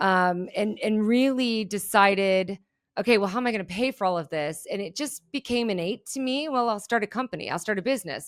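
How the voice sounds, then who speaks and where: Energetic and lively in intonation, a woman with medium pitch speaks at a fairly quick pace on a very clean recording with a silent background. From Germany, moved to US as a child. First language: German. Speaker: keynote speaker and behavioral analyst. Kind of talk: podcast interview.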